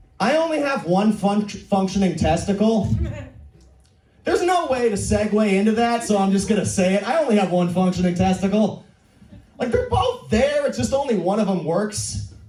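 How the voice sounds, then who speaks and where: A man with an American accent speaks at a moderate pace, high in pitch, in an animated tone with very even loudness. Audible room echo and noticeable background noise are present. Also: ordinary pitch variation. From US Pacific Northwest, Portland. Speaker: comedian. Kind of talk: stand-up. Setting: stage with audience.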